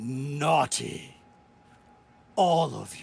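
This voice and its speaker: The put-on character voice is raspy and sits at a low-to-middle pitch. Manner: menacing, ominous.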